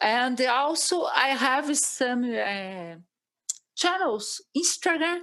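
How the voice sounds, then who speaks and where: A woman's high, bright, sharp voice with a Brazilian Portuguese accent, very wide pitch swings and a very slow pace. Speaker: agronomy professor. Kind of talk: interview. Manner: halting.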